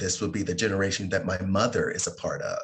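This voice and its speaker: The voice sounds somewhat breathy and moves at a fairly quick pace. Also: man. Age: 50s. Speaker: webinar moderator, Pride organization officer. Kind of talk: panel discussion introduction.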